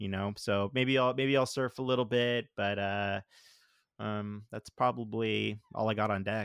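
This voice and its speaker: This is a man with an ordinary speaking voice, pitched fairly low. He talks at a fairly slow pace with ordinary pitch variation. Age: 40s. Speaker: father of child with Down syndrome, former sound engineer. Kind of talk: casual chat.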